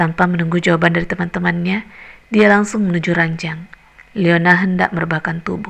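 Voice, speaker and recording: Noticeable background noise sits behind a woman's fairly low voice. She talks at a fairly quick pace with fairly even intonation. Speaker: voice actor. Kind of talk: audiobook novel reading.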